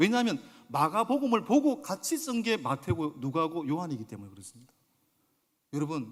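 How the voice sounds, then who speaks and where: This man talks at a fairly quick pace with very wide pitch swings. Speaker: senior pastor. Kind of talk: sermon. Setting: church service, live. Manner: addresses congregation directly, conversational.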